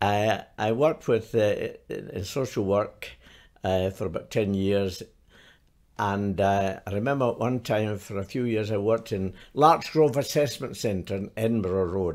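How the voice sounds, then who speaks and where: In a Scottish accent, a man with a fairly low pitch speaks at a fairly slow pace on a very clean recording with a silent background. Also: ordinary pitch variation. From Glasgow, Scotland. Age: 80s+. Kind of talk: interview answer.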